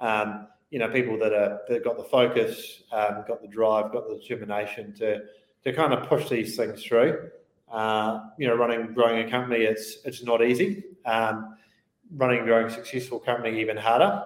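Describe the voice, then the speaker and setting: In a New Zealand accent, a man speaks with fairly even intonation. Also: medium pitch for a man, moderate pace. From New Zealand, Christchurch. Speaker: venture investment platform co-founder. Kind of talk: interview.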